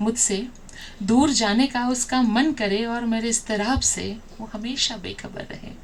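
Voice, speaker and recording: A woman with a fairly high voice keeps a fairly even intonation while her loudness swings widely. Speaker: poet. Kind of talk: poetry reading. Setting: live open mic stage.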